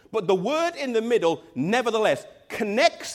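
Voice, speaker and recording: In an English accent, a man talks at a moderate pace with a high pitch and very wide pitch swings. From England. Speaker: pastor. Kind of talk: sermon.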